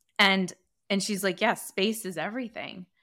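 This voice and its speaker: A woman with an American accent speaks at a moderate pace in a medium pitch and a bright, sharp tone. The recording is very clean, with a silent background. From US (Northern Virginia / California). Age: 40s. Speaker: startup founder and CEO. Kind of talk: interview. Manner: animated.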